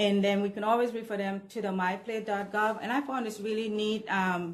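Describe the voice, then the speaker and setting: Here is a woman with a plain, everyday voice at a medium pitch. She speaks at a fairly quick pace with fairly even intonation. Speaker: nutrition trainer presenting to staff. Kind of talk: staff training presentation.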